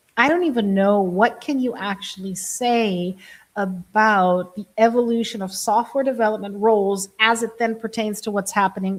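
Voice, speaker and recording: The recording is very clean, with a silent background. A woman speaks at a medium pitch with a slight German accent and fairly even intonation. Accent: slight German, barely noticeable. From Germany. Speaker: live streamer on AI and coding. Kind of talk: casual live stream.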